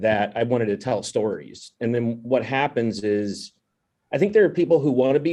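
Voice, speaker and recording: With an American accent, a man of medium pitch speaks at a moderate pace in a dark, mellow tone with ordinary pitch variation. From rural Kentucky, US. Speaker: animation film director. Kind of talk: panel discussion.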